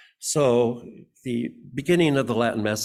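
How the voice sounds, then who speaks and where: A man with an Upper Midwest accent and ordinary pitch variation, on a very clean recording with a silent background. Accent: Upper Midwest American. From Michigan, Muskegon. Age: 80s+. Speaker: church member speaker. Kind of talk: personal reflection talk at church service. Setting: church service podium. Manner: halting.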